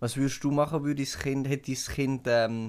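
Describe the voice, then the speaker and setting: The speaker has a Swiss accent. The pace is moderate. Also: man. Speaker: podcast co-host. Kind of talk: casual chat. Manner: animated.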